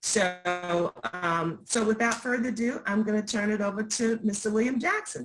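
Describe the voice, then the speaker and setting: A woman's ordinary speaking voice with an American accent, fairly high pitch, ordinary pitch variation, very even loudness, moderate pace and hardly any pauses. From US South, rural Virginia. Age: 60s. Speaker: community presenter. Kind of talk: event introduction.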